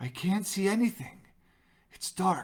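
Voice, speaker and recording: The speaker uses a put-on character voice at a middle pitch. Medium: read story.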